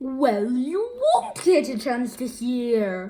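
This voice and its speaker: A woman puts on a character voice, high-pitched and very slow. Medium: read story. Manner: gloating, shouting.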